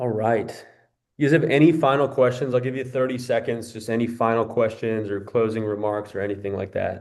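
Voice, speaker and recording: This is an ordinary speaking voice from a man at medium pitch. He talks at a fairly quick pace with fairly even intonation. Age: 20s. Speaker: fitness coach. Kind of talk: group video call coaching session.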